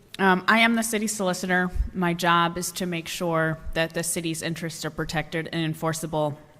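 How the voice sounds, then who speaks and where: With music in the background, a woman talks at a fairly quick pace with hardly any pauses, fairly low pitch and fairly even intonation. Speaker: city solicitor. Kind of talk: public town hall presentation. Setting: town hall meeting. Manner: formal.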